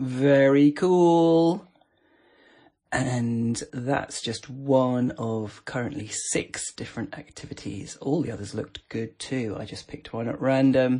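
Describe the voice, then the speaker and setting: Speaking at a very slow pace, a man uses a playful, relaxed tone and a dark, mellow tone at medium pitch, with ordinary pitch variation and big swings in loudness. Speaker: podcast host reviewing voice assistant skills. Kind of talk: casual chat, informal review. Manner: chatty, playful, relaxed.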